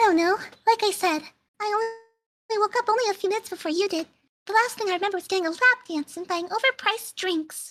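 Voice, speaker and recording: A put-on character voice sounds extremely high and playful, racing at a very fast pace. Long, frequent pauses break up the speech. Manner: cutesy, high-pitched playful.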